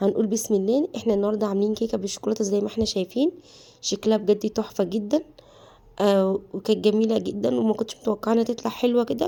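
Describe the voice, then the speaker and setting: A woman talks with a fairly high pitch and ordinary pitch variation. Her tone is dark and mellow. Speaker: cooking channel host. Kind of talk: cooking tutorial. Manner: halting, many self-corrections.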